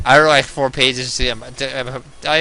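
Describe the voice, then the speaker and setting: A man talks fairly quickly, and noticeable background noise can be heard. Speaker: gaming video creator and chess club teacher. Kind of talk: casual chat over gameplay. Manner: fast; halting, many false starts.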